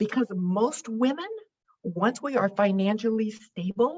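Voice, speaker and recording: A woman with a fairly high, somewhat breathy voice makes very wide pitch swings. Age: 70s. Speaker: financial therapist and author. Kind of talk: interview conversation.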